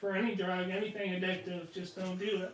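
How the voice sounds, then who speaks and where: A man with a high pitch speaks in a Southern accent with monotone, flat intonation. Noticeable background noise runs underneath. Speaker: podcast co-host. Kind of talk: casual chat.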